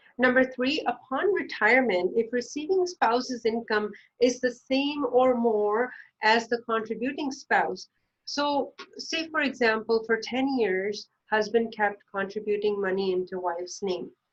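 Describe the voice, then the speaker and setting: With a non-native accent, a woman speaks at a fairly slow pace in a fairly high pitch. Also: lively intonation. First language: not English. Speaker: financial planner. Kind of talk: educational explainer. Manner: hesitant, many fillers.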